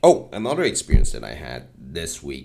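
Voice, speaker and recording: A man is speaking. His voice carries vocal fry. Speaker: podcaster and open mic comedian. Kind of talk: casual solo monologue podcast. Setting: home recording. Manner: rambling, self-deprecating, informal.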